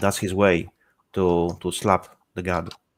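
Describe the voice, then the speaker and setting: A man speaks with a Polish accent. His pitch is very deep and low. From Poland. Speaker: panel participant. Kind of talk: panel discussion.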